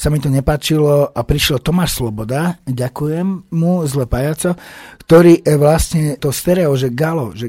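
At a moderate pace, a man speaks in a fairly high voice with a dark, mellow tone and ordinary pitch variation. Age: 40s. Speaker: rock band singer. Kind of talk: radio interview. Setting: radio studio.

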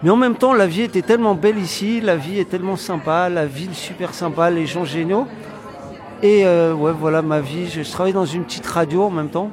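A high-pitched man talking at a fairly quick pace with ordinary pitch variation, crowd noise and audible room echo behind him. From France. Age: 30s. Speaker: community project organizer. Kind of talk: interview. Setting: recorded on location. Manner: halting, many fillers.

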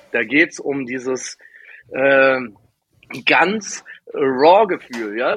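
A man's fairly high voice comes through with a dry, close sound and no echo. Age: 30s. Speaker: DJ and label owner. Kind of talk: casual interview.

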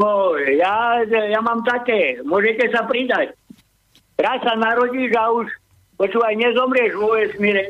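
At an extremely high pitch, a man speaks at a fairly slow pace with very even loudness and ordinary pitch variation. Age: 60s. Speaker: caller. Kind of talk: casual chat.

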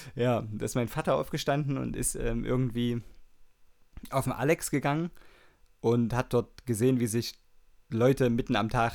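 The speaker talks at a moderate pace with ordinary pitch variation and long, frequent pauses. The recording is very clean, with a silent background. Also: man. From Saxony, Germany. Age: 30s. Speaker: radio DJ. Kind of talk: casual radio show hosting. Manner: casual, with many fillers.

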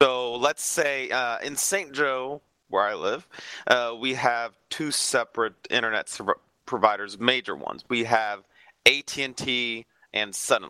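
Recorded very cleanly with a silent background and a dry, close sound free of echo, a man speaks fairly slowly in a bright, sharp, medium-pitched voice with ordinary pitch variation. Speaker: co-host. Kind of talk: casual chat.

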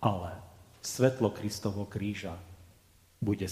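A man speaks at a fairly slow pace and fairly low pitch. His tone is dark and mellow, somewhat breathy. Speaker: Lutheran pastor. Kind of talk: sermon. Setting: church.

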